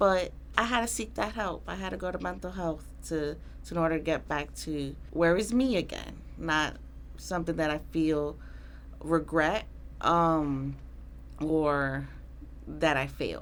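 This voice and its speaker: A woman with a New York accent at a fairly slow pace, with long, frequent pauses. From Queens, New York. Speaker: Army veteran. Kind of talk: interview answer.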